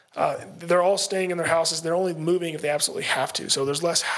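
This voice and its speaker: A man speaks at a very fast pace with a high pitch and fairly even intonation. Noticeable background noise runs underneath. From Kentucky (Versailles). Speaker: real estate investor. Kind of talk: casual interview.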